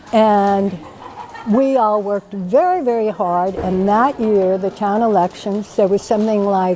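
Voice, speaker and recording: Someone with an American accent speaks at a moderate pace with ordinary pitch variation over noticeable background noise. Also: woman. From US Deep South. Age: 70s. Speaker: political activist. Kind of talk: personal testimony.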